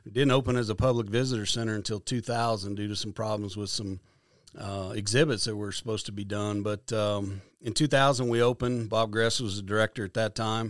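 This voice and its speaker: Recorded very cleanly with a silent background, a man with a Midwestern American accent talks fairly quickly in a fairly low voice with fairly even intonation. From Kansas. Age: 50s. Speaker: conservation foundation director. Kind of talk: interview.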